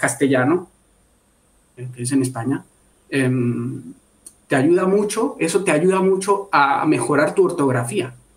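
Lively intonation marks this man's speech, delivered at a fairly slow pace. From Bogotá, Colombia. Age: 20s. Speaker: product and services engineer. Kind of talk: casual interview. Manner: halting, repeats words.

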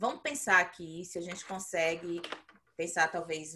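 This woman's voice sits fairly low in pitch. Her tone is bright and sharp. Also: quiet background. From Bahia, Brazil. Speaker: podcast co-host, behavior analyst. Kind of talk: casual chat.

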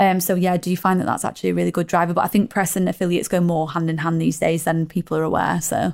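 Speaking at a very fast pace with hardly any pauses, a woman keeps a monotone, flat intonation. Her loudness is very even, and the recording is very clean with a silent background. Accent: British. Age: 30s. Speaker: ecommerce marketing manager. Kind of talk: casual interview. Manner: fast, filler-heavy.

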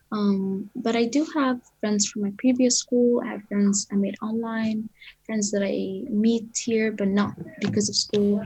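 Fairly even intonation in a woman's fairly high-pitched voice. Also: fairly slow pace. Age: young. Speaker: podcast guest. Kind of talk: personal testimony. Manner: hesitant.

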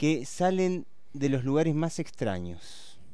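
A man speaks at a very slow pace. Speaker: radio host. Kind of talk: radio show hosting, then poem reading aloud. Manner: measured, lyrical, incantatory reading of the poem, line by line.

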